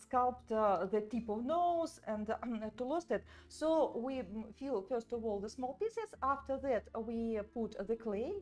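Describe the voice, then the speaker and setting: With a non-native accent, a woman speaks fairly slowly at a fairly high pitch, using ordinary pitch variation. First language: not English. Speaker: doll artist and sculpting teacher. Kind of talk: live tutorial. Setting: livestream from studio. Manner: halting, many fillers.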